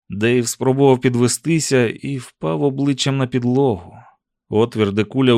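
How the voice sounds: The surroundings are quiet. A natural reading voice is heard.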